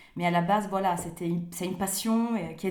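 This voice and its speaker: With noticeable background noise behind her, a woman in an Italian accent speaks at a fairly low pitch in a flat monotone. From Italy, Rome. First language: Italian (speaking French). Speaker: author. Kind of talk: interview. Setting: remote call. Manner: halting, many hesitations.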